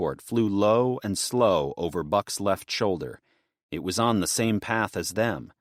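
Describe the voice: Against a quiet background, the voice does plain reading aloud.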